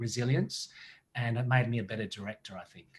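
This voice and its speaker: A man with an Australian accent talks at a fairly quick pace. His medium-pitched voice is somewhat breathy, with fairly even intonation. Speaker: actor and director. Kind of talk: interview.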